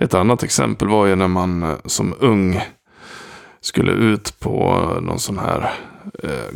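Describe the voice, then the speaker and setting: A man speaks very slowly in a very deep, low pitch. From Dalarna, Sweden. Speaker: productivity coach and podcast host. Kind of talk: solo podcast monologue. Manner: direct.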